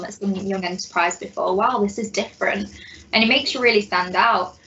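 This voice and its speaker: Amid noticeable background noise, a woman talks very fast at a medium pitch with fairly even intonation. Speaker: graduate mentor. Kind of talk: panel Q&A. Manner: loud, confident.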